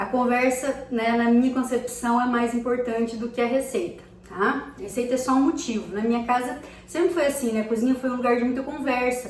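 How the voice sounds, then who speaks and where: In a room with audible echo and noticeable background noise, a woman talks at a fairly quick pace. Her voice is high, with fairly even intonation. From Brazil, countryside. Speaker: cooking vlogger. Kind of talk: casual cooking tutorial. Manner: chatty, conversational.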